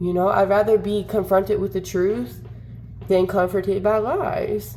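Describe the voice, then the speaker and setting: With an animated tone, a woman speaks at a moderate pace, her medium pitch showing ordinary variation. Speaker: content creator. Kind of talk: casual vlog rant. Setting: wearing headphones.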